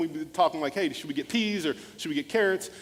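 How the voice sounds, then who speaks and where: A man speaks at a very fast pace in a high voice, with noticeable background noise behind him. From US small town, Nigerian immigrant parents. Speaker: motivational speaker and former pastor. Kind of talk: keynote speech with storytelling.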